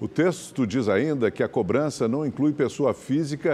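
The man has a normal speaking voice. He keeps a moderate pace with ordinary pitch variation. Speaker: news anchor. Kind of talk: news reading. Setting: studio.

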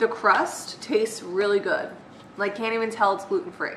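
Audible room echo and light background noise around a woman speaking with ordinary pitch variation. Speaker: vlogger. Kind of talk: casual vlog chat. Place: kitchen. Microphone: webcam.

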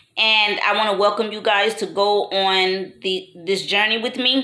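Audible echo fills the room. In it, a woman's words come very slowly. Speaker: new vlogger. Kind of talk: casual talk to camera. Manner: hesitant, stuttering. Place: home room. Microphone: phone near.

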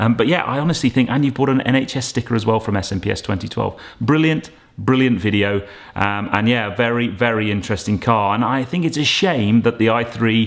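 With ordinary pitch variation and a moderate pace, a man talks in a quiet background. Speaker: car vlogger. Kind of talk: casual vlog chat. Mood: enthusiastic, warm. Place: home room. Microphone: phone near.

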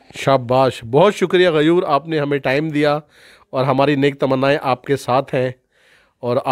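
Over a quiet background, a man with a plain, everyday voice uses ordinary pitch variation, the sound dry with no echo. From Pakistan. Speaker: YouTube channel host. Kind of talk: scripted monologue; interview. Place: home room. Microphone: handheld.

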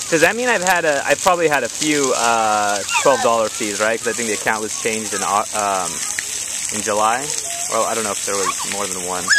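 Loud background noise sits behind speech at a fairly quick pace, in a dry sound with no echo. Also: man. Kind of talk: customer service phone call. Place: open country. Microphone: phone near.

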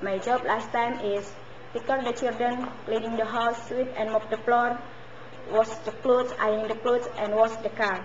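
Speaking at a moderate pace with an Indonesian accent, a woman uses a fairly high pitch and monotone, flat intonation over light background noise. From Indonesia, West Java. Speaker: domestic helper job applicant. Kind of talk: job interview. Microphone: webcam.

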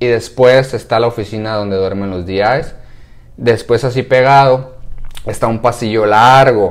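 A man talks at a fairly slow pace. The pitch varies in an ordinary way. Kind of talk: casual vlog chat. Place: home room. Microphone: lapel.

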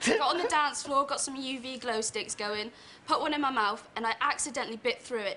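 A woman with a West Country accent talks fairly quickly in a high voice with lively intonation, over noticeable background noise. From Plymouth. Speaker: student; chat show audience member telling a story.

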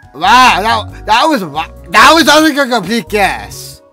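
A man speaks at a high pitch and a fairly slow pace, his pitch swinging widely. His tone is bright and sharp, with faint music in the background.

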